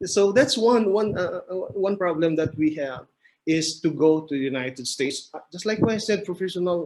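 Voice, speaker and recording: Speaking with a Filipino accent, a man uses a high pitch and lively intonation. His pace is moderate. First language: Filipino language. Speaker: mechanical engineer. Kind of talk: podcast interview. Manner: halting.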